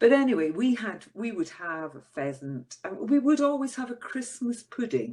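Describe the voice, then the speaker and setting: A woman speaks in a Scottish accent. Her pitch makes very wide swings. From Scotland. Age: 60s. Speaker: podcast co-host. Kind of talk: casual chat. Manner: halting.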